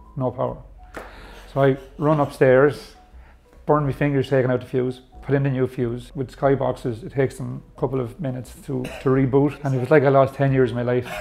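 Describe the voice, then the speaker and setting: Over faint background music, a man talks at a fairly quick pace with a monotone, flat intonation. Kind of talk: interview answer. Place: bar.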